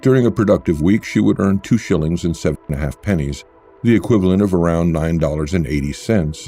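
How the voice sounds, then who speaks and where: A man with a very deep, low voice, lively intonation and a fairly quick pace, music in the background. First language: not English. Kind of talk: nonfiction book summary reading.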